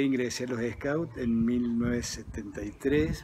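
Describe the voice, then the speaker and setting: At a very slow pace, a man speaks with medium pitch. His intonation stays fairly even. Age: 60s. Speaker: architect and professor, former scout. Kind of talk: personal reminiscence.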